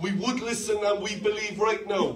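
Animated in tone, a man speaks at a high pitch over light background noise. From Ireland. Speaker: pastor. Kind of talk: sermon. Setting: church with live congregation. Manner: animated, call-and-response preaching with humour. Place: church. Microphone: handheld.

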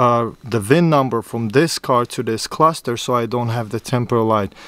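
Here a man speaks at a moderate pace. The sound is dry, with no echo. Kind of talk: tutorial. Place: car. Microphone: phone near.

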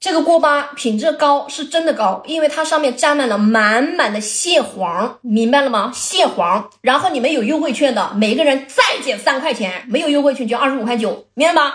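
A high-pitched woman's voice, animated in tone, with lively intonation. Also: hardly any pauses. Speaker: livestream snack seller. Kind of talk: livestream sales pitch, hawking crab-roe rice crisps to viewers. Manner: rapid repetitive hawker patter, counting packs aloud and urging buyers; animated and exclamatory, laughing and joking with chat.

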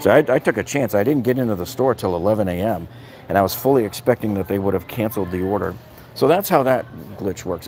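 Over faint background music, a man talks at a very fast pace with a fairly low pitch and ordinary pitch variation. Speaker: tool deals reviewer. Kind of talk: casual livestream chat. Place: shop. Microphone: phone near.

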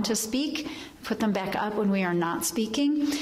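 The intonation of the woman is lively. She talks at a moderate pace. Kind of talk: church announcements. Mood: warm, informative. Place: church.

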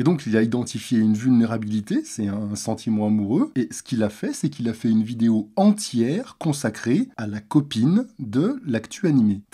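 A man's dark, mellow voice at a moderate pace, with hardly any pauses. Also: medium pitch for a man, ordinary pitch variation. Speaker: video commentator. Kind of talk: explanatory monologue, commentary on a video. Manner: serious, measured, explanatory.

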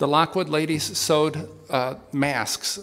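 The man's intonation remains fairly even throughout. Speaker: pastor giving announcements. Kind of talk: church announcements. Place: church. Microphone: podium.

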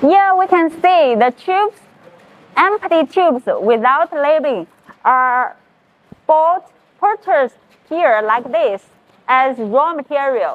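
In a high pitch, a woman talks at a very slow pace, leaving long, frequent pauses. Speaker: factory tour guide. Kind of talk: tour commentary. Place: factory.

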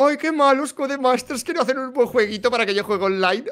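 A man's whiny, put-on character voice, extremely high pitch, very fast pace. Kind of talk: complaining. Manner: whiny, mocking.

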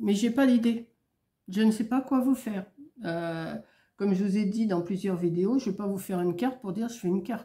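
Her voice has a dark, mellow tone and sounds somewhat breathy. This woman speaks at a fairly quick pace. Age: old. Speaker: vlogger. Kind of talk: casual chat. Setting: at home. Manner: rambling, hesitant.

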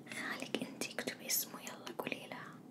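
A woman whispers at a moderate pace. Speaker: role-play host. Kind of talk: ASMR role-play chat. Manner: soft close ASMR voice, motherly.

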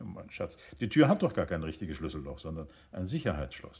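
Putting on a character voice, a man talks at a fairly quick pace in an extremely low pitch, with big pitch swings and a slightly mellow tone.

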